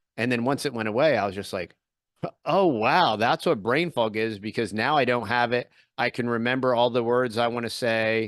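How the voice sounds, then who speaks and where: A man with an American accent and a normal speaking voice, medium in pitch with ordinary pitch variation, over a quiet background. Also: moderate pace. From US Northeast, Philadelphia area. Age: 40s. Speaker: podcaster and YouTuber. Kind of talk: casual interview chat.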